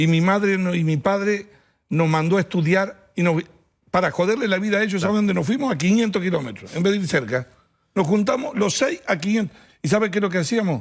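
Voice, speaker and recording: A high-pitched man at a fairly quick pace, with ordinary pitch variation and very even loudness. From Argentina, small town. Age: 60s. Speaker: politician. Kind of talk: TV interview.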